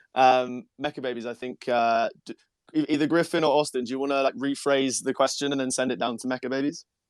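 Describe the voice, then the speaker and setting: On a very clean recording with a silent background, a man with a British accent speaks at a very fast pace in a medium pitch, his intonation fairly even and the sound dry and close with no echo. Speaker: NFT project founder. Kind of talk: casual chat.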